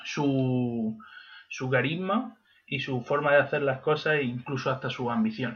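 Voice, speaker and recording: The speaker is a man with a medium pitch. He delivers his words at a fairly slow pace. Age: 20s. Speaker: history graduate podcast co-host. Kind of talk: casual chat.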